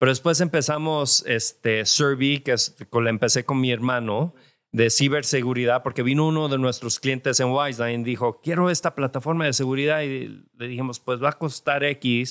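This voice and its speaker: A man with an unremarkable speaking voice talks at medium pitch and a moderate pace, with hardly any pauses. The recording is very clean with a silent background, and the sound is dry and close with no echo. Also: fairly even intonation. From California, Mexican family from Jalisco. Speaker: tech entrepreneur. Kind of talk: interview. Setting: live event recording.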